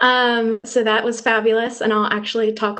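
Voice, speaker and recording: In an American accent, a woman with a plain, everyday voice speaks at a fairly high pitch with fairly even intonation. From Washington state, US Pacific Northwest. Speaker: university student. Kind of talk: self-introduction on video call.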